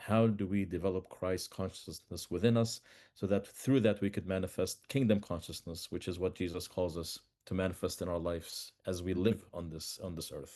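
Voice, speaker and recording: Against a quiet background, a man with an Arabic accent speaks in a very deep, low voice, dark and mellow in tone, with fairly even intonation. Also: moderate pace. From Palestine, Bethlehem. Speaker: peace activist and author. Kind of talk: podcast interview. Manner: halting, with repetitions.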